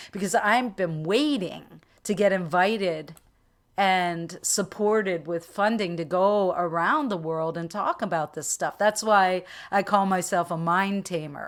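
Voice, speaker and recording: A woman with a plain, everyday voice speaks at a fairly slow pace, her medium pitch showing ordinary variation, on a very clean recording with a silent background. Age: 60s. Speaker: astrologer and meditation teacher. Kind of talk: casual interview conversation.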